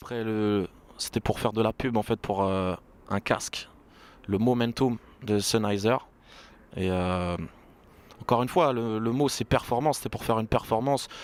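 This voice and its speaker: Moderate pace with long, frequent pauses. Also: man, medium pitch for a man, ordinary pitch variation. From Burgundy, France. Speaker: rapper. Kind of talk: interview. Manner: casual, hesitant fillers.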